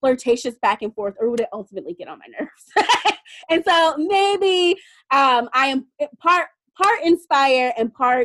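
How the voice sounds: With a fairly bright tone and high pitch, a woman speaks with lively intonation at a fairly slow pace.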